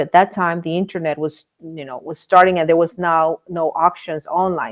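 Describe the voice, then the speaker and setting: This woman talks at a fairly quick pace with a Spanish accent. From Miami, Florida. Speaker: real estate investor. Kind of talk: interview. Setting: live stream. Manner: halting, repeats words.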